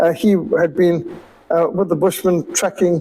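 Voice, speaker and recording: This man speaks at a fairly slow pace with a high pitch, and noticeable background noise can be heard. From Rhodesia (Zimbabwe). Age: 60s. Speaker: missionary. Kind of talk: illustrated talk with slides. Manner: conversational, with fillers.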